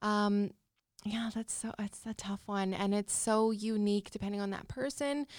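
A woman speaks at a moderate pace with fairly even intonation and a medium pitch. The sound is dry and close, with no echo. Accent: Canadian Prairies. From Saskatchewan, Canada (Regina). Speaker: social worker. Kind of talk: casual interview.

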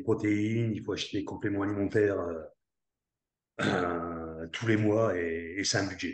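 A man speaks fairly slowly in a fairly low, somewhat breathy voice with fairly even intonation. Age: 60s. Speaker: network marketer, former army commando. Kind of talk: interview.

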